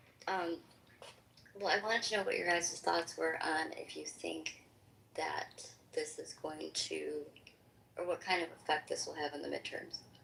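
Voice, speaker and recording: A woman talks at a moderate pace with long, frequent pauses over noticeable background noise. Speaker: political activist, poll challenger. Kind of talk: casual group discussion. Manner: soft-spoken, hesitant with many ums.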